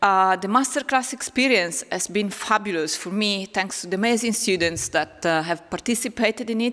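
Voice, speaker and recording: Barely pausing, a woman with an Italian accent talks at a fairly quick pace in a medium voice with ordinary pitch variation. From northern Italy, Lombardy. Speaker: philosophy professor. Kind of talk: public lecture.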